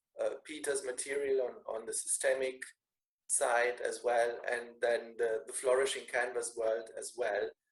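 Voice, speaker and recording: A German accent at a fairly slow pace. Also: man. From Germany, Bavaria. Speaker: business school lecturer. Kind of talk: online meeting self-introduction. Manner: repetitive, halting.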